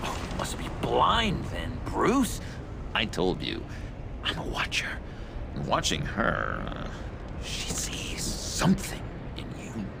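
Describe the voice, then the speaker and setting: A man's put-on character voice at a fairly slow pace, over loud background noise. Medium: machinima. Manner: halting, stammering.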